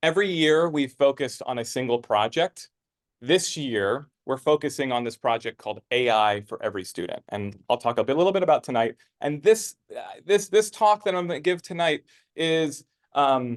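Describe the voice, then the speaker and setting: Against a quiet background, a man with a fairly high pitch and very wide pitch swings speaks at a moderate pace, the sound dry and close with no echo. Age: 30s. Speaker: philanthropist and tech speaker. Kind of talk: presentation to a live audience. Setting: stage with audience. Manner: hesitant, many fillers and repeats.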